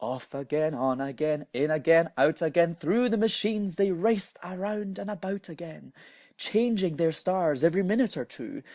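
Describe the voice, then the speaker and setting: Speaking with a Scottish accent, a man with a high pitch talks at a moderate pace with lively intonation on a very clean recording against a silent background. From Scotland. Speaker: storyteller. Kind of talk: reading aloud.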